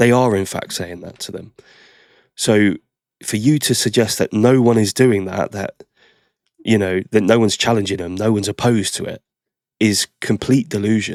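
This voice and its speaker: A man with an English accent, fairly low in pitch and at a moderate pace, with big swings in loudness and long, frequent pauses, on a very clean, dry, close recording with no echo and a silent background. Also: fairly even intonation. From England. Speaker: reaction video host. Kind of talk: reaction commentary.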